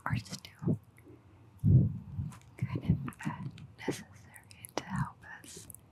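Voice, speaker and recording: Whispered speech from a woman, very slow and broken by long, frequent pauses, with noticeable background noise. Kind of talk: ASMR whispered talk to camera. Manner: whispered, soft-spoken.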